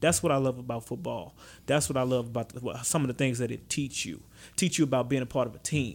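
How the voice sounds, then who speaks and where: A man speaks fairly quickly in a Louisiana accent, at medium pitch with ordinary pitch variation, in a very clean recording with a silent background. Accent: Louisiana Southern US. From Baton Rouge, Louisiana. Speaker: high school football coach. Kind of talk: casual interview. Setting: studio.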